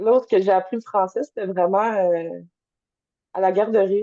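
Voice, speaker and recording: Her voice has a dark, mellow tone at a medium pitch. The woman speaks at a very slow pace with fairly even intonation. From Montreal, Canada, Polish immigrant family. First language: Polish (speaking French). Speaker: naturopath, energy healer. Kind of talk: interview testimony. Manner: hesitant, many fillers.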